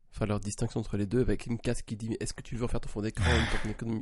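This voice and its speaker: A man speaks in a somewhat breathy voice. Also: big swings in loudness. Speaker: podcast co-host. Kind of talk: casual chat.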